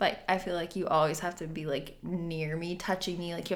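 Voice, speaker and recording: Speaking in a North Dakota accent, a woman holds a monotone, flat intonation at a fairly low pitch. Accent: North Dakota, Canadian-sounding. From US Upper Midwest, North Dakota. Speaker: podcast host. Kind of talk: casual chat.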